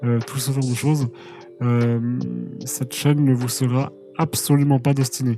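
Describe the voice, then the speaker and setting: A man's flat, monotone medium-pitched voice at a moderate pace, with long, frequent pauses and music in the background. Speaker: musician and video creator. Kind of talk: channel announcement monologue. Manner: hesitant, many fillers.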